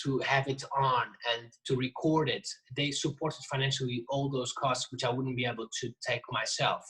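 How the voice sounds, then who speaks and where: A man with a non-native accent speaks at a moderate pace and medium pitch. His tone is bright and sharp, and his intonation is monotone and flat. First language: not English. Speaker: jazz drummer and percussionist. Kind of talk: casual interview. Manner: halting, many restarts.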